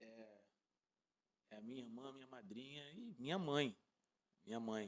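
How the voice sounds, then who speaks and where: The speaker has a Rio de Janeiro accent. The pace is moderate. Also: man. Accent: Carioca Brazilian Portuguese. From Rio de Janeiro, north zone. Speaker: pagode musician. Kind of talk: interview answer.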